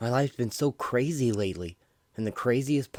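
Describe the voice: Ordinary pitch variation in plain reading aloud.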